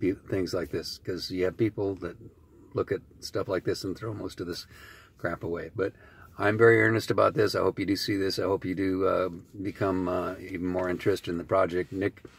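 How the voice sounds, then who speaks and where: With a very clean recording and silent background, a man speaks at a fairly quick pace in a very deep, low pitch, somewhat breathy and with fairly even intonation. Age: 60s. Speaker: author and recovering addict. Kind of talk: video message. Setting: in a car. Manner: fast; halting.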